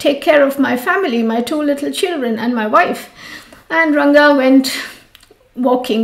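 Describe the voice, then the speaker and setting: Amid noticeable background noise and audible room echo, a woman talks at a fairly quick pace in a high pitch. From India, Mumbai. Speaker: yoga teacher. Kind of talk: storytelling.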